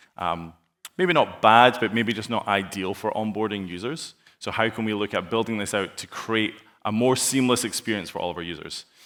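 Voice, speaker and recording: A man with a Scottish accent, fairly low pitch, ordinary pitch variation and a fairly quick pace. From Scotland. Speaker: sales engineer. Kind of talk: conference presentation with live demo. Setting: stage with audience. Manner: fast.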